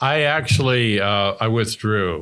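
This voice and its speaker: The recording is very clean and the background silent. A man's bright, sharp voice shows normal pitch movement. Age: 70s. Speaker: Vietnam war veteran. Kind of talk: interview. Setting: at a table in a private house.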